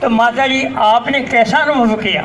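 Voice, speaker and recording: A man with an extremely high pitch speaks in a raised, projected voice. The room echo is audible and background noise is noticeable. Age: 80s+. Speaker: elderly speaker at commemoration. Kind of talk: speech at public event.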